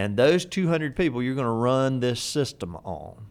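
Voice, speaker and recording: Speaking with an American accent, a man uses lively intonation at a medium pitch. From US South. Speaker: real estate instructor. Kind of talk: podcast interview.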